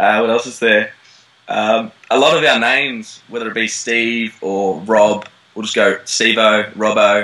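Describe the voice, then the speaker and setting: With an Australian accent, a man speaks at a fairly slow pace and medium pitch, his intonation fairly even, against noticeable background noise. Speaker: actor. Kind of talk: interview. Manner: hesitant, many fillers.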